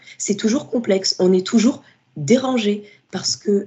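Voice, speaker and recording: A woman talks at a moderate pace and medium pitch. Her somewhat breathy voice has lively intonation. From Paris suburbs, France. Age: 20s. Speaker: literature student and book influencer. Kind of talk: interview.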